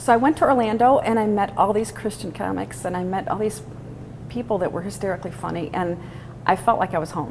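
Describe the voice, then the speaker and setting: Over noticeable background noise, a woman with an American accent speaks at a very fast pace in a medium pitch. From Chicago, northwest side. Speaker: stand-up comedian. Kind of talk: interview.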